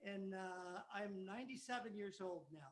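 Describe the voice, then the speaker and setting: A man with a high voice speaks at a moderate pace, with ordinary pitch variation. Audible room echo fills the recording. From East Los Angeles, California. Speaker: mariachi musician, bandleader. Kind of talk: live performance banter. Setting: video call.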